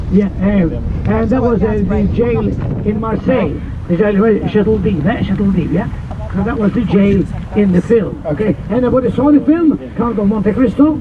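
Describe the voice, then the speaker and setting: Noticeable background noise and audible room echo surround a man speaking at a moderate pace with a high pitch and ordinary pitch variation. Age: 70s. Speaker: boat tour guide. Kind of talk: tour guiding. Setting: outdoors on a boat. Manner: animated; loud.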